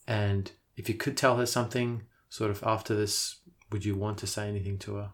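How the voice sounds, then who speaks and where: A man with an Australian accent speaks at a fairly quick pace in a monotone, flat delivery. His voice is fairly low-pitched and somewhat breathy, on a very clean recording with a silent background. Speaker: podcast host. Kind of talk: interview. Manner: hesitant, with fillers.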